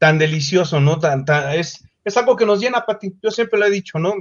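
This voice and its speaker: Here a man speaks in a Mexico City accent. His intonation is lively. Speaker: singer. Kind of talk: interview.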